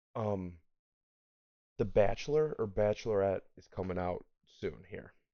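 Here is a man with an unremarkable speaking voice, fairly low in pitch with ordinary pitch variation. He speaks at a fairly slow pace, and his loudness swings a lot. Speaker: school teacher. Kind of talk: casual podcast chat.

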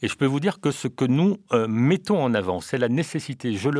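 A man speaks in a normal speaking voice with a fairly high pitch and lively intonation. The recording is very clean, with a silent background. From Réunion. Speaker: politician. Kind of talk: radio interview. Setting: studio. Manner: formal.

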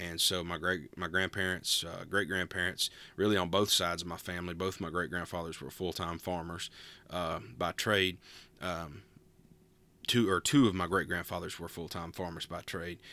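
In a very clean recording with a silent background, a man with an Appalachian accent speaks at a moderate pace in a very deep, low pitch, his tone bright and sharp and his intonation fairly even. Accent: Southern Appalachian American. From US South, Western North Carolina (Appalachia, near Asheville). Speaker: podcast host, pastor. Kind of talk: casual solo talk. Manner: relaxed, with frequent filler words (uh, um).

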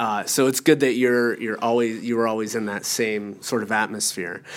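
With an American accent, a man at medium pitch talks with hardly any pauses and fairly even intonation. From northwestern Pennsylvania. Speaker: podcast host, art faculty. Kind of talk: casual interview. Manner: hesitant, many fillers.

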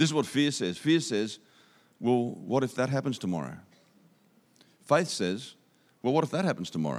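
Recorded very cleanly against a silent background, a man with an Australian accent speaks at a moderate pace and medium pitch, with vocal fry. His pitch swings very widely, and he leaves long, frequent pauses. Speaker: visiting speaker. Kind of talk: sermon. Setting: church.

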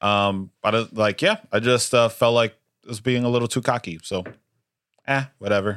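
A plain, everyday voice moves at a moderate pace. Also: man, medium pitch for a man. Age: 20s. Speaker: podcast co-host. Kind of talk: casual chat.

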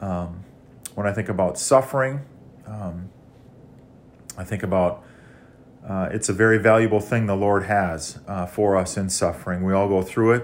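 Speaking with long, frequent pauses, a man with an Upper Midwest accent uses fairly even intonation at a fairly low pitch. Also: moderate pace. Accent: Upper Midwest American. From Minnesota, small town. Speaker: church member sharing testimony. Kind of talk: testimony.

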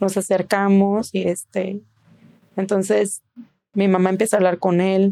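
Speaking at a moderate pace, a woman with a medium pitch and a dark, mellow tone keeps a monotone, flat intonation. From Mexico, Tijuana. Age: 40s. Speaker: physician. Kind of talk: personal testimony in an interview.

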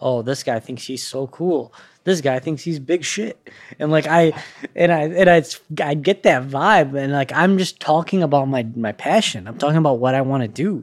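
A man's fairly high voice, with ordinary pitch variation, at a moderate pace. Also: very clean recording, silent background. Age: 30s. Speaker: physician podcast host. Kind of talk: casual interview conversation. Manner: casual, enthusiastic.

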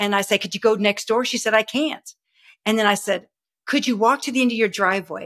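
A woman talks with a Texan accent at a fairly high pitch. The recording is dry and close, with no echo. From Texas. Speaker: health and wellness coach. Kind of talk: interview. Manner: animated.

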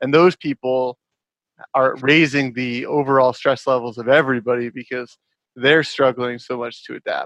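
This man has a plain, everyday voice with a medium pitch and a moderate pace. The sound is dry and close with no echo, over a quiet background. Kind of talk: casual chat. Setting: video call.

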